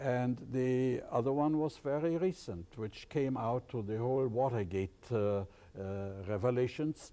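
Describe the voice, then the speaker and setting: A man speaks in a German accent at a fairly slow pace. His tone is dark and mellow, at a medium pitch. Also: ordinary pitch variation. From Germany, East Prussia. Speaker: professor of ethics. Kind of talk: interview.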